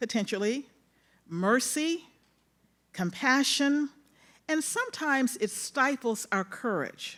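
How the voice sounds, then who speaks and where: Loud and high-pitched, a woman with a Mississippi accent speaks at a fairly slow pace with very wide pitch swings on a very clean recording with a silent background. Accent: Southern US (Mississippi). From US South. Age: old. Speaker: retired federal appeals judge, panel moderator. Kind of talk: panel moderation at a conference.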